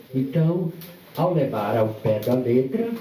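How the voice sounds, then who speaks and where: Soft-spoken, a man talks at a very slow pace amid audible room echo. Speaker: guest speaker at book launch. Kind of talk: live talk at book launch event. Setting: event venue with audience and microphone.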